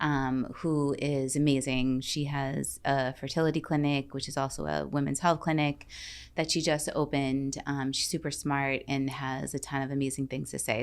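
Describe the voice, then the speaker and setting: Here a woman speaks at a moderate pace with a very deep, low pitch. The recording is very clean, the background silent. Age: 40s. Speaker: podcast host. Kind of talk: casual interview chat. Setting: studio.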